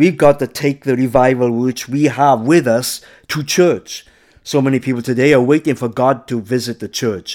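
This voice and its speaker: The speaker has a normal speaking voice and talks at a moderate pace. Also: man, medium pitch for a man. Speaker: preacher. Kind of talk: fiery Pentecostal sermon with call-and-response exhortation. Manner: urgent, fervent, rising to a rousing closing blessing.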